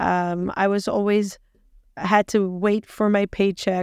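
A woman's medium-pitched voice with monotone, flat intonation, dry and close with no echo, in a very clean recording with a silent background. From Israel. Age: 40s. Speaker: podcast host and mental health advocate. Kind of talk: personal testimony.

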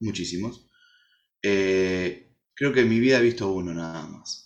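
A man speaks very slowly in a Rioplatense accent. His intonation is lively, and the background is quiet. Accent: Argentine Rioplatense Spanish. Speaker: dog and horse trainer. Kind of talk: interview conversation.

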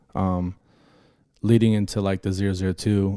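A man's very deep, low voice in an American accent, dark and mellow, monotone and flat, on a very clean recording with a silent background. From Pittsburgh, Pennsylvania. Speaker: sneaker designer. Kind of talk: casual interview.

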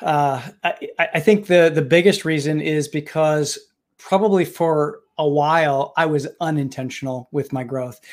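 A man with an American accent speaks at a moderate pace in a fairly high voice. His intonation stays fairly even. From Indiana, US Midwest. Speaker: leadership coach. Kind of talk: podcast interview. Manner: halting, many fillers and repeats.

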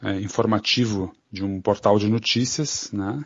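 The speaker is a man. He talks at a fairly slow pace with ordinary pitch variation. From southern Brazil, Bagé on the Uruguay border. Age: 40s. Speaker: writer and editor. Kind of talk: interview. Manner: halting, many fillers.

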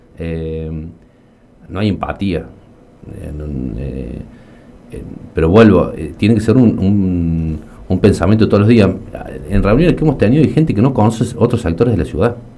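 A man's voice with very wide pitch swings, at a moderate pace with long, frequent pauses. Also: fairly low pitch for a man. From Argentina, Río Cuarto (Córdoba). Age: 40s. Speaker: accountant and local politician. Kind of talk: radio interview. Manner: hesitant, frequent fillers and repetitions.

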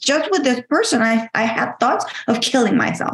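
A high-pitched woman with a Spanish accent, over noticeable background noise. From Mexico. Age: 40s. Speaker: caller. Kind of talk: testimony.

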